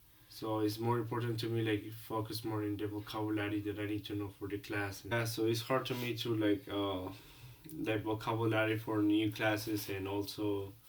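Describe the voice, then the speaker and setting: A man with a Colombian accent, fairly low-pitched, monotone and flat, at a moderate pace over noticeable background noise. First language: Spanish. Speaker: international student. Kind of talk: role-play counseling session. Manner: halting.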